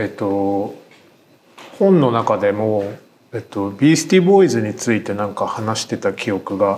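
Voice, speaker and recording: An ordinary speaking voice, this man talks at a moderate pace in a fairly low pitch with lively intonation. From Tokyo. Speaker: writer and podcast host. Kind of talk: podcast interview.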